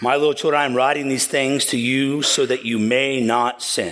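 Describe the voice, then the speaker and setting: In a normal speaking voice, a man talks at a moderate pace in a medium pitch with ordinary pitch variation. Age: 40s. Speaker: pastor. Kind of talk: sermon. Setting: church. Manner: casual, conversational with many fillers.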